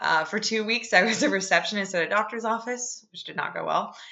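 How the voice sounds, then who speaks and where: With a normal speaking voice and ordinary pitch variation, a woman talks at a fairly quick pace. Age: 20s. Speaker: podcast host, homemaker. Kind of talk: solo podcast monologue, devotional talk.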